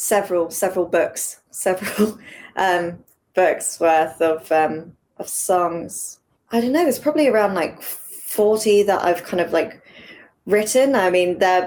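At a fairly slow pace, a woman with an English accent talks in a medium pitch. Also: ordinary pitch variation. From England. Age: 20s. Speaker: singer-songwriter. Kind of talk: interview.

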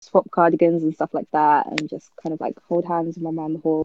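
This is a woman speaking. She has a southern English accent. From Milton Keynes, England. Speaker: podcast guest. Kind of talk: casual chat.

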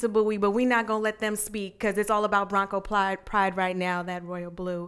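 A woman talks with an American accent. The recording is very clean, with a silent background. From Arizona (Glendale). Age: 30s. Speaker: podcast co-host. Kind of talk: casual chat.

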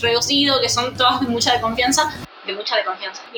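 Over noticeable background noise, someone talks at a very fast pace with fairly even intonation. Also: woman. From Argentina, La Rioja (Chilecito). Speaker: stand-up comedian. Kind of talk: casual chat.

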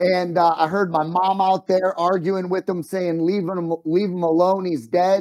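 Loud and high-pitched, a man's voice comes through. He talks at a fairly slow pace. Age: 40s. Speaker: sales coach and business owner. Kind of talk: podcast interview. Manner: animated.

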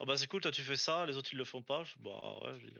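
Vocal fry runs through the voice. The speaker is a man. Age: 20s. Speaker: aerospace factory worker. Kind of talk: casual interview.

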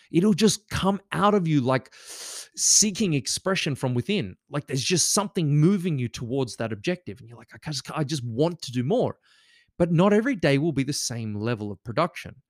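On a very clean recording with a dry, close sound and no echo, a man with a fairly high pitch talks at a moderate pace in an energetic tone. His pitch makes very wide swings, and his loudness shifts a lot. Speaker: podcast host. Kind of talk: motivational monologue.

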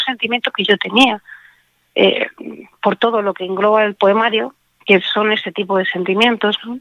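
This is a woman with a fairly high pitch. She speaks at a moderate pace. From Spain, Alicante province (Monóvar). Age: 40s. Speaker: poet and radio presenter. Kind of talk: interview. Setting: live radio interview. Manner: animated.

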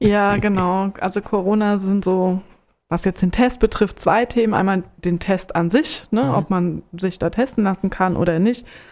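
A woman with an unremarkable speaking voice talks at a medium pitch and moderate pace, with ordinary pitch variation, in a very clean recording with a silent background. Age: 40s. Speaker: HIV counselor. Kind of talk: informative interview.

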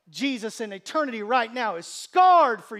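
A man speaks in a warm tone at a fairly slow pace. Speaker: pastor. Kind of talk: sermon. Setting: church. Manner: conversational, warm, humorous; fervent, pleading, rising intensity in prayer.

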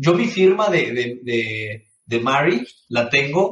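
Lively intonation marks this man's medium-pitched voice, delivered with a Mexican accent. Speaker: gaming podcast co-host. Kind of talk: casual chat. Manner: animated.

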